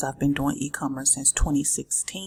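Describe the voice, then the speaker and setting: A soft-spoken woman talks with a very deep, low pitch. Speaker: business vlogger. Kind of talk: tutorial. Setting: office.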